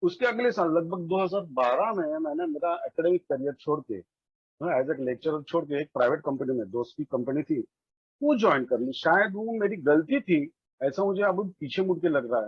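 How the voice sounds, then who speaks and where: Here a man talks with a Marathi accent at a fairly high pitch. His intonation is lively, and his pace is moderate. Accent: Marathi-accented Hindi. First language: Marathi (speaking Hindi). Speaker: recovering alcoholic, former lecturer. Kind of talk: testimony. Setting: online meeting. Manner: halting, with fillers.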